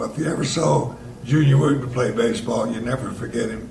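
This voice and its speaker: A man speaks with a Tennessee accent and ordinary pitch variation. Noticeable background noise and audible room echo are present. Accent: Southern US (Tennessee). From Tennessee (Chattanooga), US South. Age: 80s+. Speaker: elderly local resident sharing memories. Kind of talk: storytelling reminiscence. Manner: casual with frequent hesitations.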